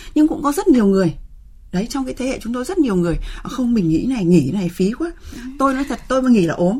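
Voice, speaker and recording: Over noticeable background noise, a woman speaks at a very fast pace. Her voice is high, with very wide pitch swings. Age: 60s. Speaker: researcher and center director. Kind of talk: radio interview discussion.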